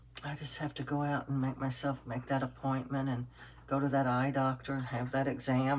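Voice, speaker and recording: At a very deep, low pitch, a woman speaks with vocal fry at a moderate pace. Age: 60s. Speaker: doll-making YouTuber. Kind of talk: casual tutorial chat while working. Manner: halting, rambling with fillers.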